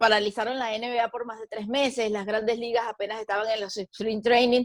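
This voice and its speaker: A woman talks with a fairly high pitch and monotone, flat intonation. The sound is dry and close with no echo. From Venezuela. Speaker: sports journalist and broadcaster. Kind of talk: interview answer.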